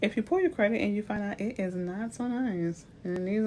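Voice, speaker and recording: The speaker has a New Orleans accent, a moderate pace and ordinary pitch variation. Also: woman. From US South, New Orleans. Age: 40s. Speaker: realtor. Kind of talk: livestream talk. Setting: livestream. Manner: animated.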